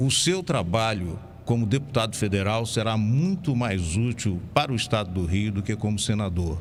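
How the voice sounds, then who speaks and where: The speaker uses lively intonation at a moderate pace, with very even loudness. Audible room echo surrounds the voice. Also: man, fairly low pitch for a man. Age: 70s. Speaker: radio host. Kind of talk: radio interview. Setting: radio studio.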